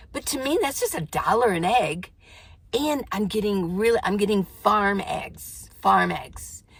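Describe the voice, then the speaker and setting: Fairly slow delivery with vocal fry. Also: woman. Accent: American. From Arizona (Tucson). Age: 70s. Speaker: van life vlogger. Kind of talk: casual improvised vlog talk. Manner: halting, with fillers and repeats.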